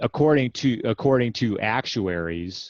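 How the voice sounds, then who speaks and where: Against a quiet background, a man talks at a fairly slow pace. His pitch variation is ordinary. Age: 60s. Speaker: health writer and author. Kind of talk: interview. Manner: halting, many fillers and restarts.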